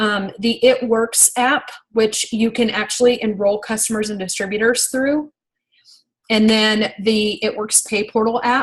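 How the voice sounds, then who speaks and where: In a fairly high pitch and a somewhat breathy voice, a woman talks at a fairly slow pace with monotone, flat intonation. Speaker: network marketing team leader. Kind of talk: training call. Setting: video call. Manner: hesitant, many fillers.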